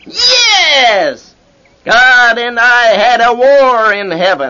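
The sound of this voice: A man does a put-on character voice at an extremely high pitch with big pitch swings. The pace is very slow and the tone bright and sharp.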